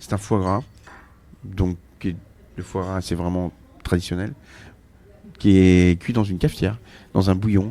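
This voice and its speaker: Pausing long and often, a man with a very deep, low pitch and a dark, mellow tone speaks at a fairly slow pace with fairly even intonation. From Brittany, Redon. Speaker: chef and restaurant owner. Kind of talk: casual interview. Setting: restaurant counter. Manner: hesitant, many fillers and repetitions.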